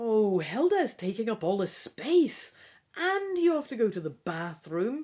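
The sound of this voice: What you hear is an unforced reading voice.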